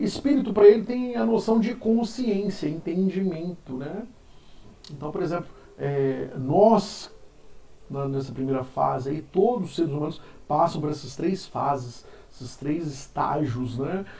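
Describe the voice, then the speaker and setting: Amid audible room echo, a man with a high pitch talks at a fairly slow pace, with very wide pitch swings and big swings in loudness. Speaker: philosophy teacher. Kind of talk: lecture. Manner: casual.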